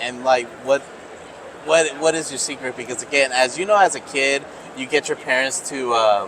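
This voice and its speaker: A man at a medium pitch and a moderate pace, with ordinary pitch variation and noticeable background noise. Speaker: podcast host. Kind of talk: interview questions, casual.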